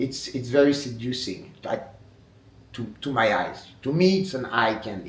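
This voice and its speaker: In a French accent, a man with a fairly high pitch and ordinary pitch variation talks at a moderate pace over noticeable background noise and audible room echo. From France. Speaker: wood sculptor. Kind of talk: interview monologue. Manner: halting.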